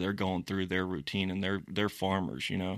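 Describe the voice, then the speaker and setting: A man with an American accent speaks at a fairly low pitch. The recording is very clean, with a silent background and a dry, close sound with no echo. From Florida (born Maryland, raised Florida). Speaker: hunting and outdoor videographer. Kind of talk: casual interview. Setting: studio.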